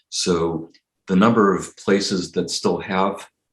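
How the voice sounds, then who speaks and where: Here a man speaks with a West Coast US accent. His pitch is very deep and low. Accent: General American (West Coast). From Los Angeles County, California. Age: 60s. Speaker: political cartoonist. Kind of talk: interview conversation.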